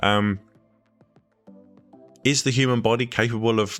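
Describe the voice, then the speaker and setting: Music plays in the background while a man talks with ordinary pitch variation. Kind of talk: casual reaction commentary to camera.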